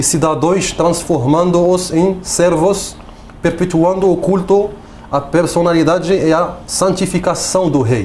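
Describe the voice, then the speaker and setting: A man's high-pitched voice at a fairly slow pace, with fairly even intonation and audible room echo. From Morocco. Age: 30s. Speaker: political activist, refugee. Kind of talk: TV interview, partly reading prepared text. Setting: TV studio. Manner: halting, basic Portuguese.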